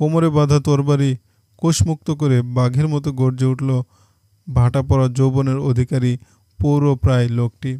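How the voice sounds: The clip has a natural reading voice with fairly even intonation. Its background is quiet.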